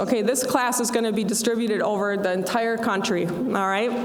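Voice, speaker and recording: A woman's fairly high voice carries audible room echo along with noticeable background noise. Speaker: dean of student affairs. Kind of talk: ceremony speech.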